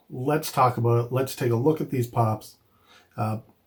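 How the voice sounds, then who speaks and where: A somewhat breathy man's voice at a medium pitch with ordinary pitch variation. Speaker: toy collecting youtuber. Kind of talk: product review. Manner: casual with filler words.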